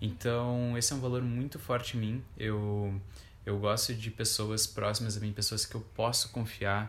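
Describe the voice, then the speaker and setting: A man speaks in a monotone, flat intonation. His voice is somewhat breathy. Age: 20s. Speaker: podcast co-host, coach. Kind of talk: casual chat.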